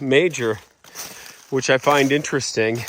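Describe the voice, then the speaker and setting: Fairly high-pitched speech from a man, fairly slow, with ordinary pitch variation and noticeable background noise. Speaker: real estate agent. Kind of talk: walking property tour. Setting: outdoors in woods. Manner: loud; casual, many fillers.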